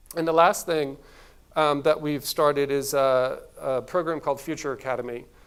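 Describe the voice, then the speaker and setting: A man with a plain, everyday voice speaks at a fairly quick pace. His pitch is fairly high and his intonation fairly even. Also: very clean recording, silent background. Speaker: agency executive giving a conference talk. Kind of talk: conference talk.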